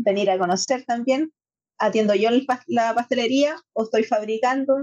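A woman speaks at a fairly slow pace with ordinary pitch variation. The sound is dry and close, with no echo. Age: 30s. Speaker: pastry business owner and table tennis player. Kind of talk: interview.

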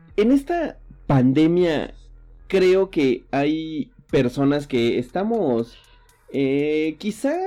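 Music plays behind a man speaking. His intonation is lively. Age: 30s. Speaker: podcast host. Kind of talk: casual chat.

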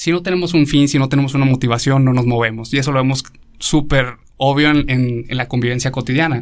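In a very clean recording with a silent background, a man with a medium-pitched voice talks at a very fast pace with fairly even intonation. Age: 30s. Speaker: philosophy graduate, priest. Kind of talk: casual explanatory talk on philosophy.

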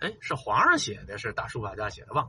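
A man with a Beijing accent talks over noticeable background noise. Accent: Beijing Mandarin, erhua-heavy. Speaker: video blogger. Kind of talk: casual chat.

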